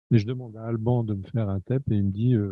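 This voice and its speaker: Somewhat breathy speech at a fairly slow pace. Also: man. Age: 60s. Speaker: medical panelist. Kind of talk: panel debate.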